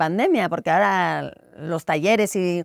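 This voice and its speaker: Heard on a very clean recording with a silent background and a dry, close sound with no echo, a woman has a plain, everyday voice, fairly low in pitch, with ordinary pitch variation. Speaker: podcast host. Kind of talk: interview question.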